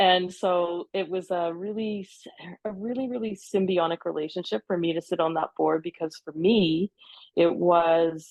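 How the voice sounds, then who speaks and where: A woman with a Canadian accent speaks in a normal speaking voice. Her pitch is fairly low and her intonation fairly even. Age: 60s. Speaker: peer mentor in eating disorder recovery. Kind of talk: podcast interview.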